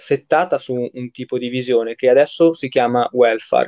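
At a fairly slow pace, a man with a plain, everyday voice speaks at a medium pitch with fairly even intonation, the sound dry and close with no echo. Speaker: live-stream host. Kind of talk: casual online interview. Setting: video call.

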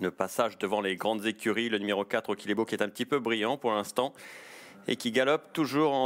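An animated man talks at a fairly quick pace and medium pitch, captured in a very clean recording with a silent background and a dry, close sound with no echo. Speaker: race commentator. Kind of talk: live horse race commentary. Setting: racecourse. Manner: fast, animated, rising excitement as the finish nears; rapid-fire, fluent, with occasional hesitations.

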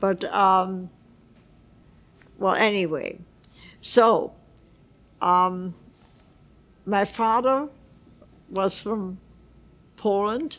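A woman at a medium pitch speaks very slowly with ordinary pitch variation, leaving long, frequent pauses. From Vienna, Austria; Austria. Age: 80s+. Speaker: Holocaust survivor. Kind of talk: interview answer. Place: home room. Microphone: lapel.

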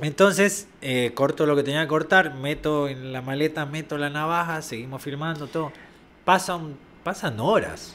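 At a fairly slow pace, a man speaks at a fairly high pitch with ordinary pitch variation over light background noise. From Argentina. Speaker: location sound recordist; guest. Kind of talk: casual chat. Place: studio. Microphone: studio mic.

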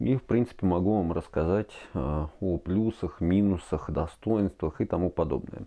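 Against a quiet background, a man with a very deep, low voice talks at a moderate pace with ordinary pitch variation. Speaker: product reviewer. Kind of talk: casual review talk. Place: home room.

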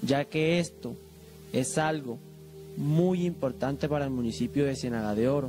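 A man talks fairly slowly while clear music is heard behind him. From Colombia. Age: young. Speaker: religious festival volunteer and image restorer. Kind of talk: interview answer. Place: hall. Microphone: handheld.

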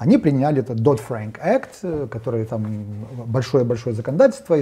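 Somewhat breathy and dark, mellow in tone, a man talks at a moderate pace with ordinary pitch variation. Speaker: economist. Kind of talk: panel discussion on economics. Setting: studio. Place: studio. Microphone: lapel.

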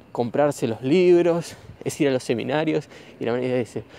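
Here a man speaks in a Rioplatense accent with a dark, mellow tone. His pitch is medium, with ordinary variation, and his pace is moderate. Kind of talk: casual talk recorded while walking. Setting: outdoors. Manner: improvised, informal.

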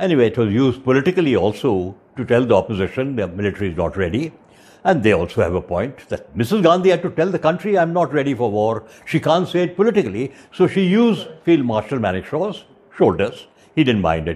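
A man talks at a fairly quick pace and medium pitch with few pauses, big pitch swings, a slightly mellow tone and a slightly husky edge.

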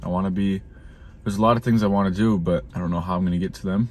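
Dry, with no echo, the recording captures a man speaking at fairly low pitch with an American accent. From Minnesota. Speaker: YouTuber vlogging a road trip. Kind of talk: casual vlog talk to camera. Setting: in his truck. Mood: reflective, uncertain. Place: car. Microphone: phone near.

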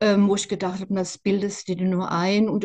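Against a quiet background, a woman's voice comes through with a dark, mellow tone. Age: 60s. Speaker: interviewee sharing personal experience; interviewee. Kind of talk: testimony; interview answer. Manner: halting, many fillers. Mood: reflective, earnest. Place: home room. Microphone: video call.

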